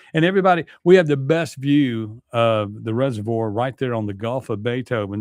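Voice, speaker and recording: In a Mississippi accent, a man talks at a medium pitch with lively intonation. His pace is fairly quick, and the sound is dry and close with no echo. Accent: US Southern (Mississippi). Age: 60s. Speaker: radio talk show host. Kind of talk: talk radio monologue. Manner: casual, halting with many fillers.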